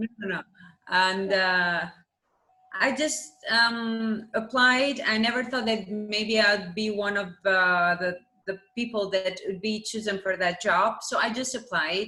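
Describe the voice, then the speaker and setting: A woman speaks at a very slow pace. Her pitch sits fairly high, with ordinary variation. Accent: Albanian. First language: Albanian. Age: 20s. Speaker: math teacher. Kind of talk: interview.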